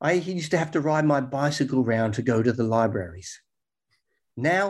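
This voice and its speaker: Here is a man with an Australian accent, speaking at a fairly quick pace in a medium pitch. The recording is very clean, with a silent background. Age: old. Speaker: health researcher and author. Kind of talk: interview.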